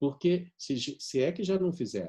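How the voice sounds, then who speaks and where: A man's high-pitched voice with a dark, mellow tone at a moderate pace. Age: 60s. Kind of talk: conference talk. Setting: video conference.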